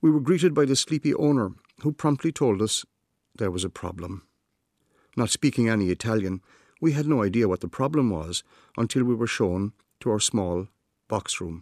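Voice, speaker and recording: Recorded very cleanly against a silent background with a dry, close sound and no echo, a man with an Irish accent talks at a moderate pace and medium pitch, using lively intonation and long, frequent pauses. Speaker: writer. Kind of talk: scripted narration.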